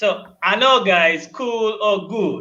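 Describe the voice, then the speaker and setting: A man speaks in a raised, projected voice at a high pitch and a very slow pace, with ordinary pitch variation, a bright, sharp tone, and audible room echo. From Tanzania. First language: Luguru and Swahili. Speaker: language teacher. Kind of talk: short language lesson.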